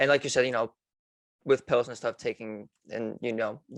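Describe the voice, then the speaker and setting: An American-accented man at medium pitch, fairly quick and fairly even in intonation, with a dry, close sound with no echo and a quiet background. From Philadelphia. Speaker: podcast host. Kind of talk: casual interview.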